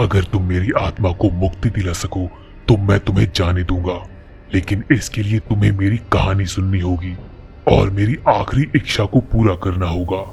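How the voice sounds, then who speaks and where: A man puts on a character voice, speaking at a fairly slow pace with a very deep, low pitch while clear music plays in the background. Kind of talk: horror story ghost voice. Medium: read story. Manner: slow, ominous.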